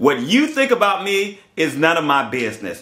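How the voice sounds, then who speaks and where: This man's voice is high-pitched for a man and swings very widely in pitch, with audible room echo. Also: quiet background. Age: 50s. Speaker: YouTuber; vlogger. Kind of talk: vlog monologue. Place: home room. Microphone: phone near.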